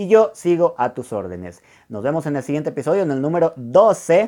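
A man speaks with a dark, mellow tone. The recording is very clean, with a silent background. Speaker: podcast host, personal development coach. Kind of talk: motivational monologue. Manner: fast; animated.

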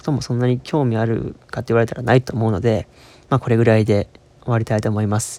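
A man's dark, mellow voice at medium pitch, dry and close with no echo. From Osaka, Kansai. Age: 20s. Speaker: podcast host, university student. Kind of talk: casual solo monologue. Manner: halting, many fillers.

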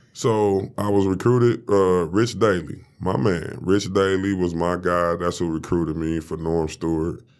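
In a very clean recording with a silent background, a man with an American accent and a very deep, low voice speaks at a fairly slow pace with fairly even intonation. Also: hardly any pauses. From Detroit, Michigan. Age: 40s. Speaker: former basketball player. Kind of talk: casual interview. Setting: studio.

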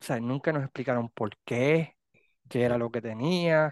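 A man with a normal speaking voice and medium pitch talks at a fairly slow pace with ordinary pitch variation, in a dry, close sound with no echo and a quiet background. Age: 50s. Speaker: podcast host. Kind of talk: casual chat.

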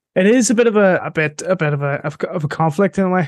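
Man in a Northern Irish accent, with a quiet background. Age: 20s. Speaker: podcast host. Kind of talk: interview.

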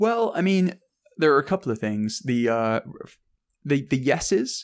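A man with an English accent at a moderate pace. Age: 30s. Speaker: journalist and podcast host. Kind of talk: casual chat.

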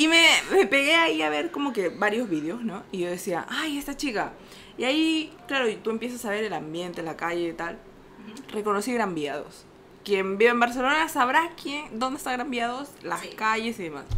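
Animated and bright with a sharp tone, a woman speaks at a moderate pace with a fairly high pitch and very wide pitch swings. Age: 20s. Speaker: podcast co-host. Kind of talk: casual chat.

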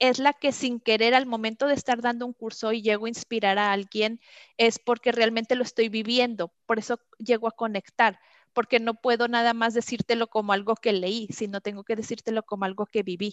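A woman speaks with a Mexican accent at a fairly high pitch and a moderate pace. The background is quiet, and the sound is dry and close with no echo. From Mexico. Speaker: customer experience trainer. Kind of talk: interview.

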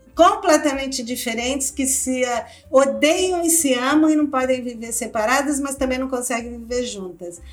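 Over music in the background, a woman's high voice carries ordinary pitch variation and audible room echo. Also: moderate pace. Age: 60s. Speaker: anthropologist and author. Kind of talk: interview.

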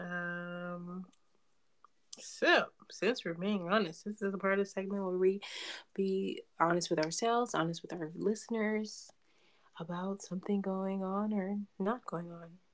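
Pausing long and often, a woman speaks at a fairly slow pace with medium pitch and fairly even intonation. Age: 30s. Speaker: podcast co-host. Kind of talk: casual chat.

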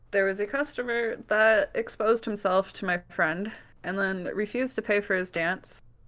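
A woman with an American accent has an unremarkable speaking voice at medium pitch with ordinary pitch variation and a moderate pace. The recording is very clean, with a silent background. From US Midwest, Wisconsin. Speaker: alternative model. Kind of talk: casual chat.

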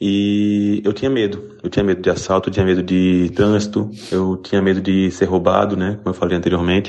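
Very deep and low, this man's voice holds monotone, flat intonation. He moves at a fairly quick pace. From interior of Pernambuco, Brazil. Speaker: listener sending audio message. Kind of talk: voice message.

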